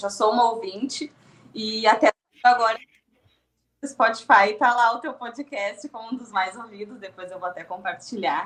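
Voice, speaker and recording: A Rio Grande do Sul accent at a moderate pace, with ordinary pitch variation and big swings in loudness. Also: woman. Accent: gaúcho (Rio Grande do Sul). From southern Brazil (Rio Grande do Sul). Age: 30s. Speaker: podcast guest, content creator. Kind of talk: podcast interview.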